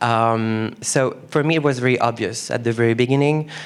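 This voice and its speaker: A man with a French accent speaks fairly slowly at a medium pitch. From France. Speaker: exhibition curator. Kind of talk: onstage conversation.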